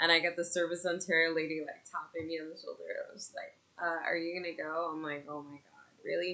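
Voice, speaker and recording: In a Canadian accent, a woman with a fairly low pitch speaks at a very fast pace, monotone and flat in intonation but with big swings in loudness. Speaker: podcaster and mother. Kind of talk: casual monologue. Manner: loud, projecting; halting, many fillers.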